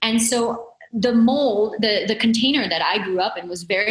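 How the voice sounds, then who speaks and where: Ordinary pitch variation marks this voice. The speaker is a woman. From Italy, then US from age 10. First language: Italian or Portuguese. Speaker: entrepreneur and coach. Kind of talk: podcast interview. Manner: animated.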